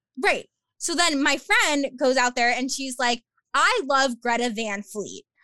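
A woman with an American accent speaks in a raised, projected voice at a high pitch, with a bright, sharp tone. Her intonation is lively and her pace fairly slow. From Long Island, New York. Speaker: podcaster and athletic communications graduate assistant. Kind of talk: casual interview chat.

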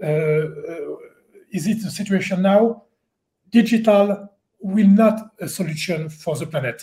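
With a French accent, a man talks at a moderate pace in a dark, mellow tone and with ordinary pitch variation. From France. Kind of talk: panel discussion. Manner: halting.

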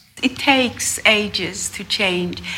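A woman talks with an Iranian accent. There is noticeable background noise and audible room echo. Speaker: mental health clinician. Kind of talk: panel discussion. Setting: stage with live audience.

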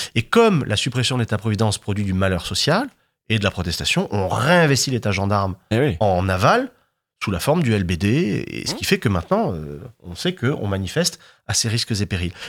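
A man's unremarkable speaking voice, fairly low in pitch, at a moderate pace with lively intonation, on a very clean recording with a silent background. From southern France, Martigues (Bouches-du-Rhône). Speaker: historian. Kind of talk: interview.

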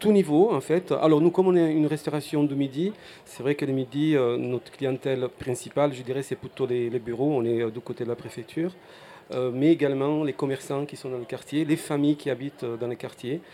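A man with a fairly high pitch speaks fairly quickly, his pitch varying in an ordinary way. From Apulia, southern Italy. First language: Italian (speaking French). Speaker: restaurant owner. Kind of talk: interview. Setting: outdoor festival stand.

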